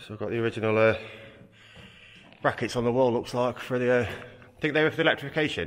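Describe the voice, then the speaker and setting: Very fast speech over a quiet background. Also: man. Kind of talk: casual exploration commentary. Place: tunnel cave. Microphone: phone near.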